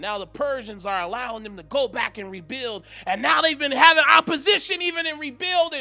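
With music in the background, a man in an animated, raised, projected voice of extremely high pitch races along with hardly any pauses, very wide pitch swings and big swings in loudness. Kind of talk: sermon, preacher in full flow, prophetic declarations to congregation. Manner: emphatic, rhythmic, exhorting, call-and-response urging the crowd to say amen; animated, commanding, repeating declarations with rising intensity.

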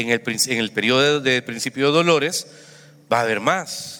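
Bright and sharp in tone, this man's voice sits fairly high. He speaks at a fairly quick pace with lively intonation. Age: 50s. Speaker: pastor. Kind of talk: sermon.

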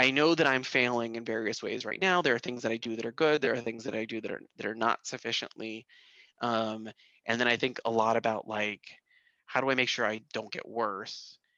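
A loud man's voice at medium pitch, bright and sharp in tone, at a fairly quick pace with ordinary pitch variation, in a dry, close sound with no echo and a quiet background. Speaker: assistant professor. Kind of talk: casual chat. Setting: video call. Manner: halting.

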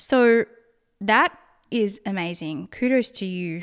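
In a very clean recording with a silent background, a woman talks with an Australian accent. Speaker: podcaster. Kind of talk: solo monologue podcast, casual opinion talk. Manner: casual, conversational.

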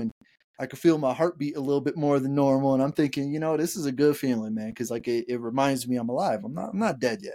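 A man talks at a fast pace with a medium pitch. His tone is slightly mellow, and his pitch varies in an ordinary way.

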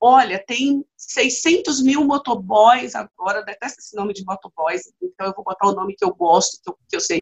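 With lively intonation and a somewhat breathy quality, a woman talks at a moderate pace and a fairly high pitch. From Bahia, Brazil (Vitória da Conquista). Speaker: trade unionist and activist. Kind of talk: interview conversation.

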